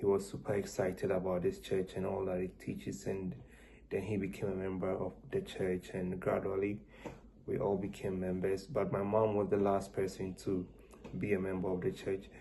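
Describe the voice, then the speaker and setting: Dark and mellow in tone, a man's fairly low, somewhat breathy voice stays monotone and flat at a moderate pace. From Ghana. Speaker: student interviewee. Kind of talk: interview answers.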